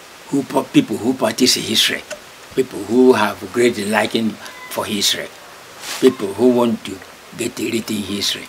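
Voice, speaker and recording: Noticeable background noise surrounds a man with a Nigerian accent and a medium pitch. He talks at a moderate pace with fairly even intonation and long, frequent pauses. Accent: Nigerian Igbo English. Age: 80s+. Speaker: local historian, community elder. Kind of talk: oral history interview. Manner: halting, many hesitations.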